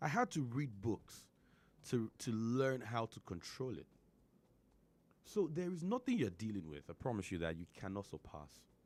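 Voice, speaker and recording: This man speaks at a moderate pace and medium pitch, his voice making very wide pitch swings, with long, frequent pauses. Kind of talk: casual chat.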